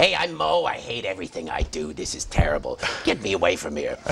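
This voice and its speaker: A man does a put-on character voice at a very fast pace over clear background noise. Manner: grumpy.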